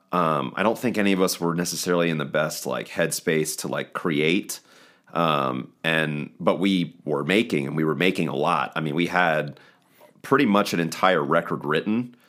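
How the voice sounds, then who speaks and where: The speaker has a Mid-Atlantic American accent and some vocal fry. The pace is moderate, with ordinary pitch variation. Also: man, very deep, low pitch for a man. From eastern shore of Maryland. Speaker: rock band guitarist. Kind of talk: casual interview.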